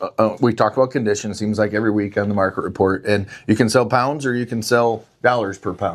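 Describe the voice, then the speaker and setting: Speaking at a fairly quick pace, a man uses an unremarkable speaking voice at a medium pitch. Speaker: livestock auction host giving market report. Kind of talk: market report to camera.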